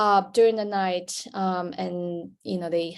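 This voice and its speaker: The background is quiet. A woman at medium pitch speaks at a very slow pace. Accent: Chinese. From China. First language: Chinese. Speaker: sleep researcher, panelist. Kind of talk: panel discussion. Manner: hesitant, many fillers.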